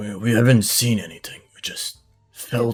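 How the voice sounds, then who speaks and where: Faint music plays behind a man doing a raspy, put-on character voice at medium pitch and a moderate pace. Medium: actual play.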